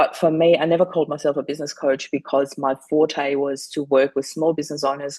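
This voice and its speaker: A woman with a German accent, very deep and low in pitch, monotone and flat in intonation, at a fairly quick pace. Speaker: widow and grief coach. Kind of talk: interview.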